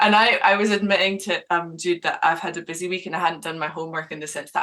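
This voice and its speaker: A woman speaks with a Scottish accent. Her pitch is fairly low. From Scotland. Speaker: radio show host. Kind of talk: interview chat.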